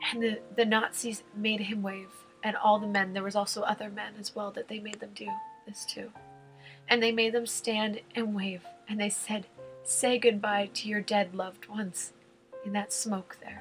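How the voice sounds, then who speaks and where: A woman at a moderate pace, fairly high in pitch with fairly even intonation and big swings in loudness, over music in the background. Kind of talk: casual talk to camera, retelling a story.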